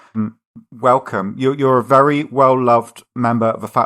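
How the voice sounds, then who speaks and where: A man with an English accent speaks at a medium pitch with fairly even intonation on a very clean recording with a silent background. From England. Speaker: podcast host. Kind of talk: podcast interview.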